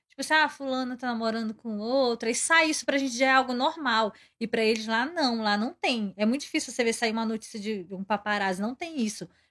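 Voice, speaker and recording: Speaking in an ordinary speaking voice, a woman talks at a fairly quick pace with hardly any pauses, her pitch fairly high with ordinary variation. The recording is very clean, with a silent background. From Pará, Brazil. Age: 20s. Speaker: K-pop fan club member. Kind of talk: casual interview chat.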